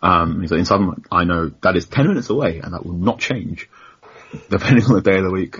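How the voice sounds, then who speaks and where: Very fast speech with lively intonation and a somewhat breathy quality. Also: man. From London. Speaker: journalist. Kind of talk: casual chat.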